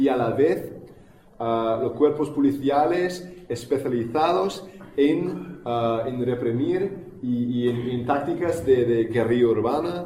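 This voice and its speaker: Talking at a very slow pace, a man uses medium pitch with ordinary pitch variation. Noticeable background noise and audible room echo are present. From United States. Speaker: activist speaker. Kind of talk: public talk. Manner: halting, many fillers and repetitions.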